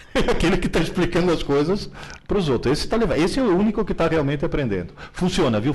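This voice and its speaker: A man's high voice at a fairly quick pace, with lively intonation. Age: 70s. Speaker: professor. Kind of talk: Q&A in a live stream. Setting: live stream. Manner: animated.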